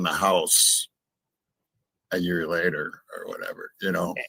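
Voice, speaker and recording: A man's fairly slow speech in a dry, close sound with no echo. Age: 60s. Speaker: true crime commentator. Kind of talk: casual livestream discussion.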